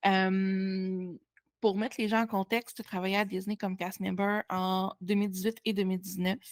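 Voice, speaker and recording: Recorded dry and close with no echo, a woman's monotone, flat delivery sits on a very clean recording with a silent background. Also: medium pitch for a woman, moderate pace. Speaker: podcast host. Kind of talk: casual interview.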